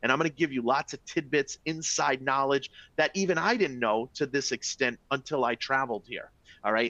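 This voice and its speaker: A man's animated, bright and sharp voice at a medium pitch, with ordinary pitch variation and a fairly quick pace. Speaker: travel sales presenter. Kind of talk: webinar presentation. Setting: live webinar.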